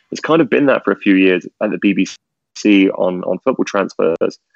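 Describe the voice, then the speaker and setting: This man has a plain, everyday voice, fairly low in pitch, and he speaks at a moderate pace. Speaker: media executive. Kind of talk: casual interview.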